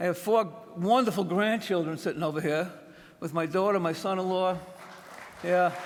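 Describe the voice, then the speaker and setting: A man speaks in a high pitch with fairly even intonation at a moderate pace. Long, frequent pauses break up his speech, and the room echo is audible. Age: 70s. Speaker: retired fire officer, hall of fame inductee. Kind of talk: acceptance speech. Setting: stage with audience. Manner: halting.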